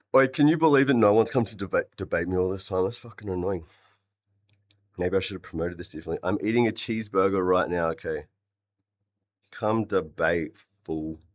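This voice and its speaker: In an Australian accent, a man with a fairly low pitch speaks in an animated tone at a fairly quick pace, with ordinary pitch variation and long, frequent pauses, on a very clean recording with a silent background. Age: 30s. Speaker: vegan live streamer and rapper. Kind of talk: live stream debate chat.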